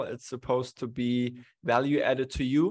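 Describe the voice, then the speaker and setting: Against quiet surroundings, a man's intonation stays fairly even. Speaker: webinar host. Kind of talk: webinar host introduction. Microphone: studio mic.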